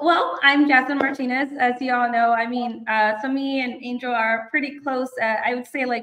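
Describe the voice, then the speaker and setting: With a Southern California accent, a woman talks at a moderate pace in a high pitch, with hardly any pauses. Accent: Southern Californian American English. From Inland Empire, Southern California. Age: 20s. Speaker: construction business owner. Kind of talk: casual interview. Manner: hesitant, many fillers.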